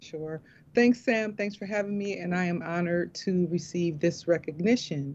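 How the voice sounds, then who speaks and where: A woman speaks in a normal speaking voice at a fairly low pitch. Her pace is moderate and her pitch variation ordinary. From Milwaukee, Wisconsin. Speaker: community development director. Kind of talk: interview.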